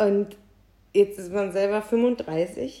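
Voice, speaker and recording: A woman's dark, mellow voice at medium pitch, with lively intonation. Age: 30s. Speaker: podcast co-host. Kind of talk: casual chat.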